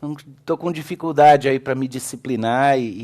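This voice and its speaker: A man talks in an animated tone. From Brazil, Belo Horizonte. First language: English (speaking Portuguese). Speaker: pastor, theology lecturer. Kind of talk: sermon. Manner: animated storytelling.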